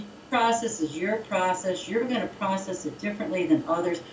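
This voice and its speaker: Noticeable background noise behind a woman going at a fairly quick pace. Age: 50s. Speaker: gossip researcher and speaker. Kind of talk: casual chat.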